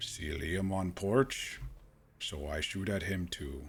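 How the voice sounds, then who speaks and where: Putting on a character voice, a man talks at a fairly slow pace in a very deep, low pitch with ordinary pitch variation. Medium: game stream. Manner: terse broken English, drops articles and verbs.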